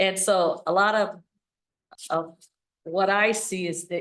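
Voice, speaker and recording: A woman talks in an Upper Midwest US accent. Her intonation is monotone and flat. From Wisconsin, Holton area. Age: 60s. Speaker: parks committee member. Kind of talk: meeting introductions.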